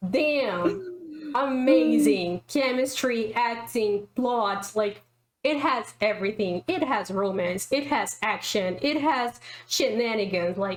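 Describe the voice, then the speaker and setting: Speaking very slowly with a non-native accent, this voice keeps its loudness very even while the intonation stays lively. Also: woman, fairly high pitch for a woman. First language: not English. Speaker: YouTube reaction creator ranking shows. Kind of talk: casual chat reviewing TV shows. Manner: animated.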